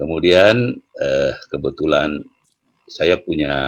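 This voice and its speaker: Here a man speaks at a very slow pace. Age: 70s. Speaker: entrepreneur. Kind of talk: interview. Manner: hesitant, many fillers.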